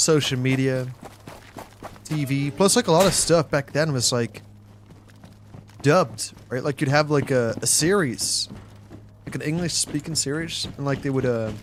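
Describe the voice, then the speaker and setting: Pausing long and often, a man with a slight Dutch accent speaks in a fairly high pitch. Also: ordinary pitch variation, moderate pace. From Netherlands, southern (West Brabant). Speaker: gaming streamer. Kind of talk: casual live-stream chat while gaming.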